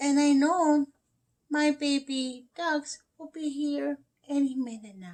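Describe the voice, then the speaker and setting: A woman's put-on character voice, high in pitch and fairly slow in pace. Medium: read story. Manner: warm, motherly.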